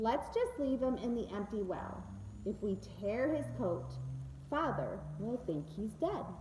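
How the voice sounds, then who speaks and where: Through noticeable background noise, a woman speaks fairly slowly in a rumbling, put-on character voice. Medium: read story. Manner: resentful, grumbling.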